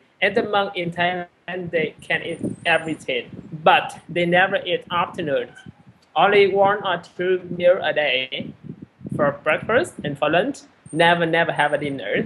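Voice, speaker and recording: A man speaks with a Vietnamese accent at a high pitch. His pace is fairly slow, with ordinary pitch variation. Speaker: Buddhist monk, caller. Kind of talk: casual chat. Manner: halting.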